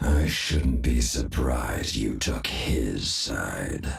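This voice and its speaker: A man puts on a raspy character voice with a very deep, low pitch. He talks at a very slow pace, his intonation fairly even. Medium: video game. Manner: menacing.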